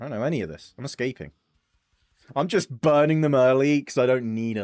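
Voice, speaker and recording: A man at medium pitch and moderate pace, animated in tone, with a dry, close sound without echo and music in the background. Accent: English. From England. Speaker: streamer. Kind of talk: live gaming stream commentary. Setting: live stream.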